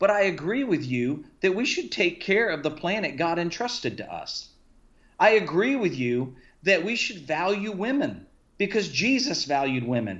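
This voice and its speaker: The speaker has an American accent. Their pitch swings very widely. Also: man, high pitch for a man, moderate pace. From US South, Key West, Florida. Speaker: missionary and former pastor. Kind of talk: casual chat.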